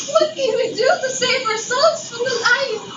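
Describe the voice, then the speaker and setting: A female-sounding voice puts on a character voice at an extremely high pitch, moving at a moderate pace. Loud background noise and a slight echo surround it. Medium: stage play.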